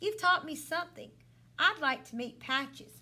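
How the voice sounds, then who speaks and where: Putting on a character voice, a woman speaks high-pitched at a moderate pace with lively intonation. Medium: read story.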